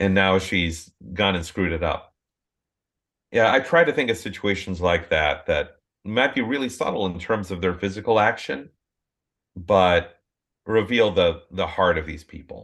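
With an American accent, a man with a very deep, low voice speaks with ordinary pitch variation and long, frequent pauses against a quiet background. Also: moderate pace. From southeastern Minnesota, US Midwest. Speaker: novelist. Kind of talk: interview conversation.

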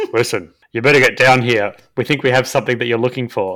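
A man puts on a gruff character voice at a medium pitch. He talks at a very fast pace with fairly even intonation. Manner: gruff, urgent tone.

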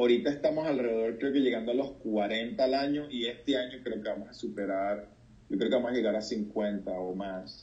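With audible room echo around him, a man talks in a dark, mellow tone. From Venezuela, Puerto Cabello. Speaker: doctor, pastor and charity founder. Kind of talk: interview.

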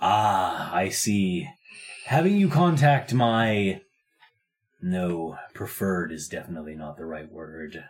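Using a put-on character voice, a man speaks at a fairly slow pace with fairly low pitch, lively intonation and big swings in loudness. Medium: actual play. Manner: formal, measured and stiff.

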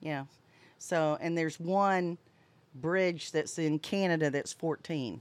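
Her delivery is very slow. The woman's pitch rises and falls in an ordinary way. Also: fairly low pitch for a woman, very clean recording, silent background. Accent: Southern US. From US South, Florida Panhandle. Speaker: boater and RV travel vlogger. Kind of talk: casual chat. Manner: animated.

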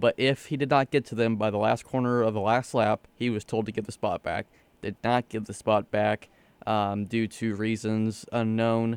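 On a very clean recording with a silent background and a dry, close sound with no echo, a man with a normal speaking voice talks at a moderate pace, medium in pitch, with fairly even intonation. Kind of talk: casual sports radio chat.

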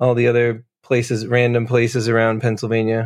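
In an American accent, a man speaks at a moderate pace with a medium pitch. His intonation is monotone and flat, over a quiet background. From New Jersey. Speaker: musician. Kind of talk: casual interview chat.

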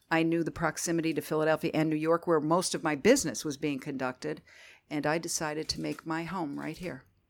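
In a very clean recording with a silent background, a woman with a Northeast Pennsylvania accent talks at a very fast pace, her very deep, low pitch held in fairly even intonation. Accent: Northeastern Pennsylvania. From Northeastern Pennsylvania (Scranton). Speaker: marketing agency owner. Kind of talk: interview.

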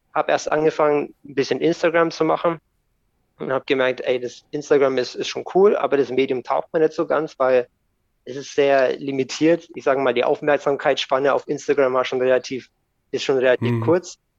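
A man speaks at a moderate pace in an unremarkable speaking voice, fairly high in pitch with fairly even intonation, in a dry, close sound with no echo. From Germany, bilingual with American parent. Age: 30s. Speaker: skateboard YouTuber and podcaster. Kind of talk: casual chat.

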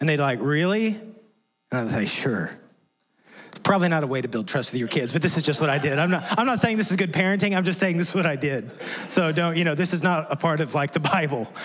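Audible room echo trails the speech, which comes at a very fast pace. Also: man, fairly high pitch for a man, lively intonation. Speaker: pastor. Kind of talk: sermon. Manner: halting.

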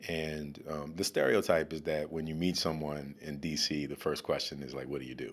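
Vocal fry marks this man's very deep, low voice. He speaks at a moderate pace in a flat monotone. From US South, New Orleans. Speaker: school diversity director and educator. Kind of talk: casual interview. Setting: studio. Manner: halting, many fillers and repetitions.

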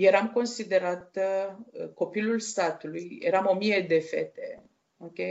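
A woman speaks very slowly in a mid-range voice, her intonation fairly level. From Romania, Dolj county. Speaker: guest, blind woman telling life story. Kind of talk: interview testimony.

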